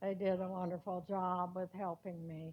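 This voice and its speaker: In an American accent, a woman talks at a medium pitch with monotone, flat intonation. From US Midwest, Quincy, Illinois. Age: 80s+. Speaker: retirement community resident telling life story. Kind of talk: life story presentation. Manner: halting, many fillers.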